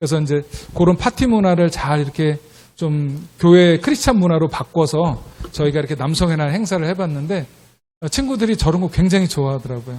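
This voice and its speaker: A man's fairly high, dark, mellow voice at a fairly quick pace with lively intonation. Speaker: missionary. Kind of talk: missionary report in church service. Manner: hesitant with frequent fillers.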